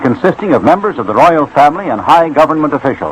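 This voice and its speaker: Noticeable background noise sits behind a man with an American accent, fairly high pitch and lively intonation. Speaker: radio news commentator. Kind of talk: radio news broadcast.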